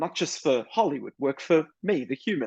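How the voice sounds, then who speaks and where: A man speaks with an Australian accent at a fairly high pitch. The sound is dry and close, with no echo. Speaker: author and screenwriter. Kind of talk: interview conversation.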